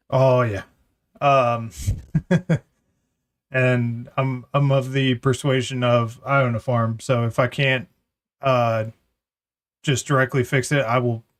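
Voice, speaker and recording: A man speaks at a fairly slow pace in a medium pitch, his intonation monotone and flat. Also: long, frequent pauses, very even loudness. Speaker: podcast host and streamer. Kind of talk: casual chat.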